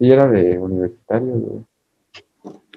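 A man's voice with very wide pitch swings. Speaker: podcast co-host, university student. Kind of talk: casual chat.

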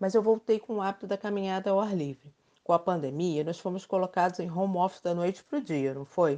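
A woman's dark, mellow voice at a medium pitch, with ordinary pitch variation and a fairly quick pace. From Rio de Janeiro, Brazil. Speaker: podcast host, journalist. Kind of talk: scripted podcast conversation.

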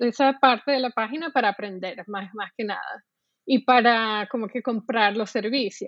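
Ordinary pitch variation from a woman, paced moderately. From Venezuela, Caracas. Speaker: UX designer and art director. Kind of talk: interview. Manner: halting, many repetitions and fillers.

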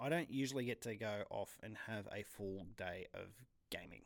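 Using fairly even intonation, a man with an Australian accent speaks at a fairly slow pace in a medium pitch. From Australia (New South Wales). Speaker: podcast host. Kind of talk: solo podcast monologue. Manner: hesitant, many fillers.

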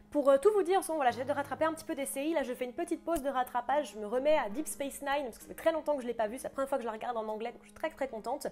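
Over noticeable background noise, a woman with a high pitch and ordinary pitch variation speaks at a very fast pace with hardly any pauses and big swings in loudness. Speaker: YouTuber reviewing TV series and books. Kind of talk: casual solo review vlog. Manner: hesitant, many fillers.

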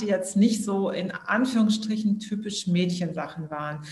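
A woman speaks at a moderate pace and medium pitch, with fairly even intonation. Noticeable background noise and audible room echo fill the recording. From southern Germany. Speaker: startup founder. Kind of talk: interview.

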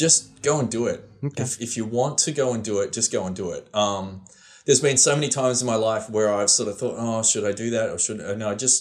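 A man talks at a fairly quick pace with an Australian accent. His pitch varies in an ordinary way. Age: 40s. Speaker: photographer and videographer. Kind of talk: casual interview.

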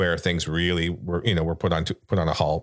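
This man's voice is very deep and low. He talks very fast in a monotone, flat way. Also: very clean recording, silent background. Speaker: podcast co-host. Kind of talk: casual chat.

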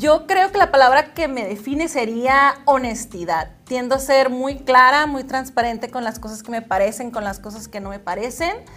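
Her voice high and her intonation lively, a woman speaks at a moderate pace with hardly any pauses and big swings in loudness over noticeable background noise. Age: 30s. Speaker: model and pageant contestant. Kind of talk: interview.

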